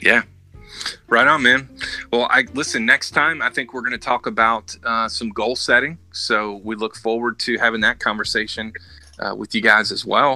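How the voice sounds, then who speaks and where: Ordinary pitch variation and a moderate pace in a man's speech. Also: medium pitch for a man. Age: 40s. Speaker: podcast co-host. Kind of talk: casual chat. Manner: animated.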